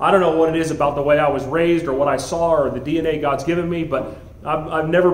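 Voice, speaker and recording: In a room with audible echo, a man talks at a fairly quick pace with a fairly high pitch and fairly even intonation. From US South, Miami, Florida; Florida. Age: 40s. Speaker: school head; guest. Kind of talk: motivational talk. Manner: halting. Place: meeting room. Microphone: handheld.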